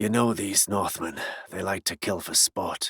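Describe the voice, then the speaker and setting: A man's put-on character voice, raspy and fairly low-pitched, with fairly even intonation at a moderate pace, in a dry, close sound with no echo. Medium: read story.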